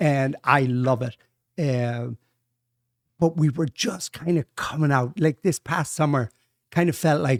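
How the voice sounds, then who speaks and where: With an Irish accent, a man talks at a fairly slow pace in a fairly high voice with ordinary pitch variation and long, frequent pauses, recorded dry and close with no echo. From Ireland, County Louth. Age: 60s. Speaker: Irish pub owner. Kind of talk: casual chat.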